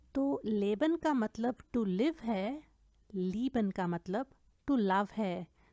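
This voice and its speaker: Fairly high-pitched woman with a dark, mellow tone, lively intonation and very even loudness, in a dry, close sound with no echo on a very clean recording with a silent background. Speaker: German language teacher. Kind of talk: language lesson tutorial.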